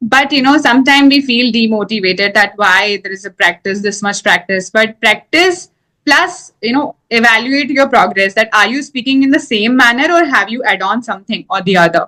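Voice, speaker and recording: Barely pausing, a woman with a fairly high pitch and a bright, sharp tone talks at a moderate pace with lively intonation. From India. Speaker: English teacher. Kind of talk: casual chat.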